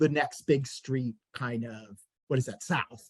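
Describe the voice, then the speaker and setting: The recording of this man with an American accent is dry and close with no echo, and his pace is fairly slow. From US Northeast (Queens, New York City). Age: 60s. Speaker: bookseller and event interviewer. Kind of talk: casual conversation in a virtual author event. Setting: video call. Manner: halting, many fillers.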